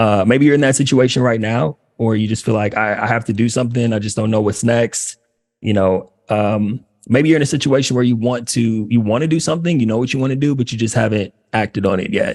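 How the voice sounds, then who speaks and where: In an American accent, a man talks at a fairly quick pace. His pitch is medium, with ordinary variation. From Los Angeles, US. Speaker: career coach for former athletes. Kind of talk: workshop talk. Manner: fast.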